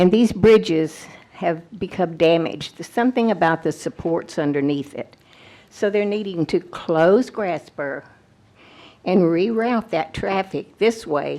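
A woman's dark, mellow tone, fairly low in pitch, with ordinary pitch variation at a fairly slow pace. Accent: Texan. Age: 80s+. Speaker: retired teacher, resident addressing county officials. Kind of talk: public comment at a meeting.

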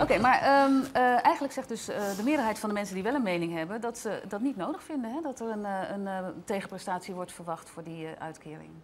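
Light background noise accompanies a woman who speaks at a very fast pace with a fairly high pitch and lively intonation. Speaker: TV presenter. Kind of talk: TV debate show presenting. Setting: studio in a museum. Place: studio. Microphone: lapel.

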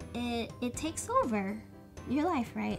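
Clear background music beneath a woman's fairly slow speech. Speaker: vlogger. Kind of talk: casual vlog chat.

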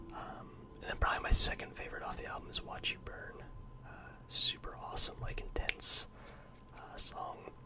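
Whispering at a moderate pace, a man's voice shows big swings in loudness. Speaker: ASMR creator. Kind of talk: casual ASMR talk to camera. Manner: whispered.

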